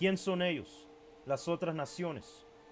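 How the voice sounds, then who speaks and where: Music plays in the background while a man speaks with an English accent. His pitch is high and his pace very slow. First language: English (speaking Spanish). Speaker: bible teacher. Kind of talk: bible teaching video. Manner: halting, stumbling over Spanish words; casual, code-switching with English.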